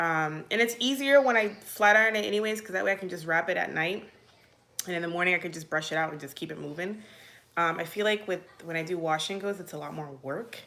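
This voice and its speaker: Against noticeable background noise, a woman talks at a very fast pace with a fairly low pitch. Her intonation is lively, and her loudness swings widely. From Virginia, US (military childhood, born Puerto Rico). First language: Spanish. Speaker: mom vlogger. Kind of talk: casual live Q&A. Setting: livestream. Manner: chatty, filler-heavy.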